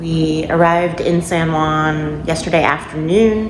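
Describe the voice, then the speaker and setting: Fairly low-pitched woman at a fairly slow pace, with audible room echo and noticeable background noise. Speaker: travel vlogger. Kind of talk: casual vlog narration. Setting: indoors in a rental apartment.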